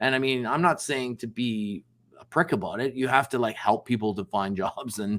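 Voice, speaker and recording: Ordinary pitch variation marks this man's unremarkable speaking voice. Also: medium pitch for a man, moderate pace. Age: 60s. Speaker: business founder and sales executive. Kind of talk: podcast interview. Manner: casual, conversational with frequent fillers.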